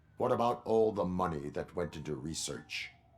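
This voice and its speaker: A man puts on a character voice with a very deep, low pitch. He delivers it at a moderate pace. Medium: video game. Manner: terse, flat.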